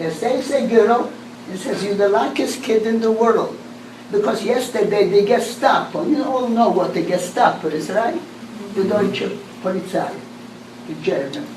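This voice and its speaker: A woman with a fairly high pitch and lively intonation speaks at a moderate pace. Room echo is audible and background noise is noticeable. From Poland, Lodz. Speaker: Holocaust survivor. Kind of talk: testimony. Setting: talk to a class.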